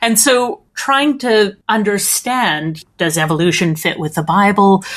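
Here is a woman with a Canadian accent and a normal speaking voice. She talks fairly slowly with lively intonation. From Canada, Edmonton. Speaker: theologian and postdoctoral researcher. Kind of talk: interview.

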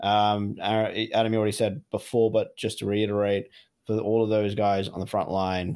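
With an Australian accent, the speaker talks at a moderate pace in a monotone, flat intonation. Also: man. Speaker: podcast co-host. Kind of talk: casual chat. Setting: remote call from home.

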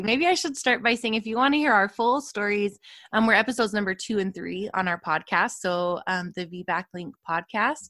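On a very clean recording with a silent background, a woman uses a normal speaking voice with lively intonation. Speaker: birth worker and educator. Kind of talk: casual interview chat.

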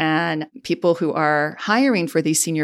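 At a fairly slow pace, a woman with a Chicago accent and a fairly low pitch speaks in a very clean recording with a silent background. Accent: Chicago-area American. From US Midwest, Chicago southwest suburbs. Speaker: diplomat. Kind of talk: interview.

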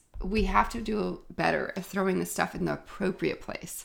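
The recording is very clean with a silent background, and a woman speaks at a moderate pace. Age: 40s. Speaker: podcast host and zero waste shop owner. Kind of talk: solo podcast monologue. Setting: home office.

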